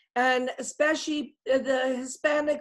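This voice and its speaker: Speaking at a fairly slow pace, a woman uses a high pitch. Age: 70s. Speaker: UFO researcher and international speaker. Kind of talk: interview.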